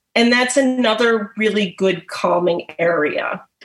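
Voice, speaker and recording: A woman speaks in a plain, everyday voice at a fairly high pitch. Her intonation is lively and her pace fairly slow. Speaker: pet massage therapist. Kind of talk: presentation.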